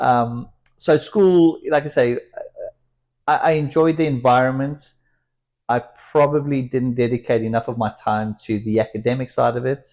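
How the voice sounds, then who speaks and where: Someone talks at a moderate pace in a South African accent, with ordinary pitch variation. Long pauses come frequently. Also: man, medium pitch for a man. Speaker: entrepreneur and company founder. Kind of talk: interview.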